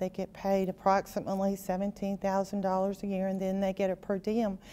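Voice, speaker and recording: A woman's dark, mellow voice at medium pitch and a fairly quick pace. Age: 60s. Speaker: state senator. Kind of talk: interview.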